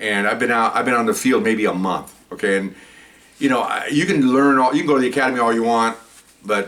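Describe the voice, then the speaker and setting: A man with an American accent, medium-pitched, fairly quick and lively in intonation, in a normal speaking voice. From East Los Angeles, California. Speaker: retired police officer. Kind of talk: storytelling. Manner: casual, repetitive.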